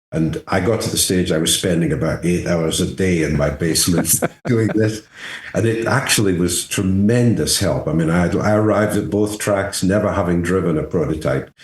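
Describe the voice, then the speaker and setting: A man speaks at a moderate pace in a very deep, low voice with ordinary pitch variation, over noticeable background noise. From England, near Scottish border. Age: 70s. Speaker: race car driver. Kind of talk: casual interview chat.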